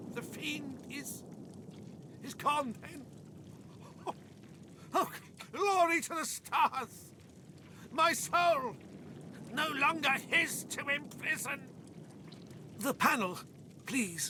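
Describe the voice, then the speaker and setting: A wheezy, put-on character voice crawls along at a very slow pace with long, frequent pauses over clear background noise. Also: man, extremely high pitch for a man. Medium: video game. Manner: gasping, broken phrases.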